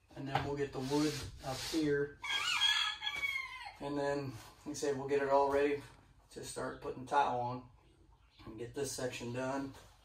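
This man talks at a moderate pace, with light background noise and audible echo from the room. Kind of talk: casual vlog chat. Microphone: camera far.

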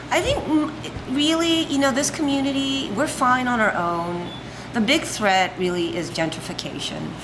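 A woman's high voice with an American accent at a fairly slow pace, over noticeable background noise. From Los Angeles, from age five. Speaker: restaurant owner. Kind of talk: casual interview conversation. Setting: in a restaurant. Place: cafe. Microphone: studio mic.

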